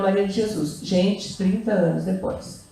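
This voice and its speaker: The recording of this woman has noticeable background noise and audible room echo. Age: 70s. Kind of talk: talk at a literary festival. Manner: halting, with frequent repetitions.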